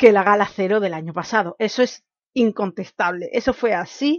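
Delivered at a fairly slow pace with lively intonation, this is a normal speaking voice. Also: woman. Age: 20s. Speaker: podcast host. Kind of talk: solo commentary podcast.

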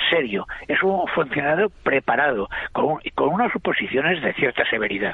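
A man's pitch swings very widely as he talks at a moderate speed, with noticeable noise in the background. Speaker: writer and literary critic. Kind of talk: panel discussion.

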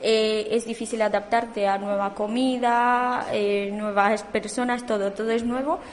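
Fairly high-pitched and fairly slow, a woman speaks with monotone, flat intonation and very even loudness. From Romania. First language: Romanian (speaking Spanish). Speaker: immigrant student. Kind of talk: radio interview.

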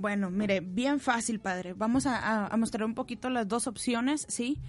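With a plain, everyday voice, a woman speaks at a fairly slow pace, her pitch fairly high with ordinary variation. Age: 20s. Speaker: parish volunteer. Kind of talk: tutorial. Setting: studio.

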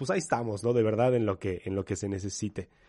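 A man with a dark, mellow tone talks against a quiet background. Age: 30s. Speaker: youth pastor. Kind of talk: interview.

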